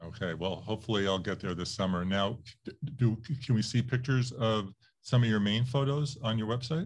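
Ordinary pitch variation from a man at a fairly quick pace, his voice medium-pitched and somewhat breathy. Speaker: interviewer and podcast host. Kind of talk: interview.

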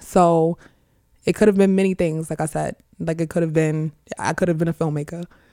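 A woman with a New York accent speaks at a moderate pace and fairly low pitch, with fairly even intonation and a dry, close sound with no echo. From Far Rockaway, Queens, New York. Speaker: school director and rapper. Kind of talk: casual interview.

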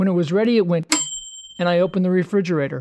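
Recorded with a dry, close sound and no echo, the man's voice sits at a high pitch. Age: 70s. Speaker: humorist. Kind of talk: comedic monologue.

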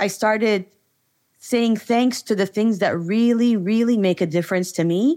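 A woman speaks at a moderate pace in a fairly high pitch with a dark, mellow tone. Her loudness stays very even on a very clean recording with a silent background. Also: ordinary pitch variation. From raised across Middle East and Asia. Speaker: business trainer and entrepreneur. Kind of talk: interview.

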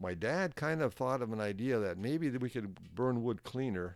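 In a very clean recording with a silent background, a man talks fairly quickly at a medium pitch. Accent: Upper Midwest. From Northern Minnesota. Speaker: sauna stove manufacturer. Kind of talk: casual chat. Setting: in person at his workplace. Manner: animated.

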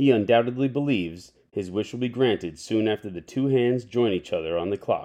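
Lively intonation runs through this man's unremarkable speaking voice. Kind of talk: literary audiobook reading, read aloud in a storyteller's narration. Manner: measured, expressive narrator voicing dialogue and whimsical wordplay.

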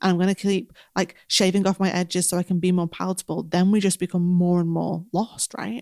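In a strong northern English accent, a woman talks at a medium pitch on a very clean recording with a silent background. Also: dry, close sound with no echo. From northern England. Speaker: business coach and podcast co-host. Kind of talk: casual advice chat. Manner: fast talker.

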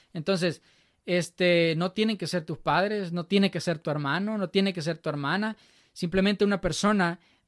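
The sound is dry and close with no echo, on a very clean recording with a silent background. A man with a high pitch speaks in fairly even intonation. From El Salvador, Chalatenango. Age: 20s. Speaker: student and church musician. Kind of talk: casual interview testimony. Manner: halting, many repetitions and fillers.

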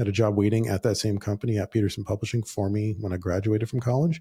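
In an American accent, a man with a fairly low pitch and a dark, mellow tone speaks very fast, somewhat breathy and with fairly even intonation, on a very clean recording with a silent background. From Southern California. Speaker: podcast host, entrepreneur. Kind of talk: solo podcast monologue. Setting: office. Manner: casual, with frequent fillers.

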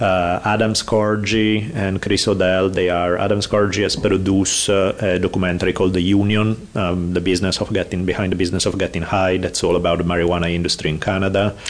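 A man with an Italian accent, very deep and low in pitch, at a fairly quick pace with hardly any pauses, very even loudness, monotone, flat intonation and noticeable background noise. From Italy. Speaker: professor and martial arts scholar. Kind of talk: casual interview chat.

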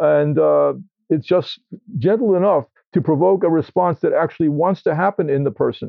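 With an American accent and an unremarkable speaking voice, a man talks at a moderate pace and fairly high pitch, his loudness very even and his pitch variation ordinary. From New York City (Queens). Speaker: homeopath and author. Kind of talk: interview. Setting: indoors, in a room.

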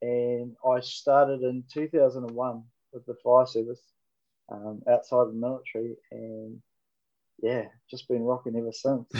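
Medium-pitched man with a New Zealand accent, dark, mellow tone, monotone, flat intonation, a fairly slow pace, long, frequent pauses and big swings in loudness. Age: 40s. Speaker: firefighter and station officer. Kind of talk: interview.

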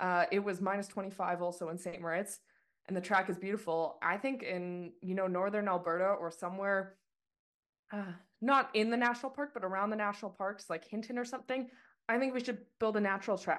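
With a Canadian accent, a woman speaks in a plain, everyday voice at medium pitch, with ordinary pitch variation, a fairly quick pace and a quiet background. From Canada. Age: 30s. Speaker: skeleton racer. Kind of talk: interview.

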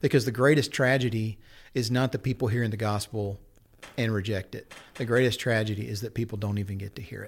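A man with an American accent, medium pitch, fairly even intonation, a somewhat breathy quality and a very fast pace, on a very clean recording with a silent background. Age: 50s. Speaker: pastor and missions advocate. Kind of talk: casual chat.

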